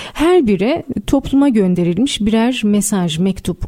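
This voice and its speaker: A woman with a fairly high pitch and lively intonation, at a fairly slow pace, over noticeable background noise. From Istanbul, Turkey. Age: 30s. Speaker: writer. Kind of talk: radio interview. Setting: radio studio.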